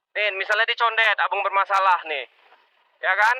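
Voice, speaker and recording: A man with a high, raised, projected voice at a very fast pace, recorded dry and close with no echo. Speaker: ride-hailing motorbike driver, vlogger. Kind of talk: motovlog rant. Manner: animated.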